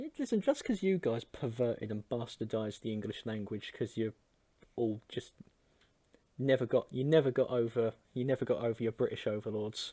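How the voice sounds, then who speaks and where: Heard in a dry, close sound with no echo, a man of medium pitch and dark, mellow tone talks at a fairly quick pace with ordinary pitch variation. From East London, England. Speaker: podcast co-host. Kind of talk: casual comedic debate.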